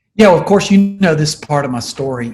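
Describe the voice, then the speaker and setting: Here a man speaks at a very fast pace. His voice is somewhat breathy. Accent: Southern US. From US South. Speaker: leadership coach, former pastor. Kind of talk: interview.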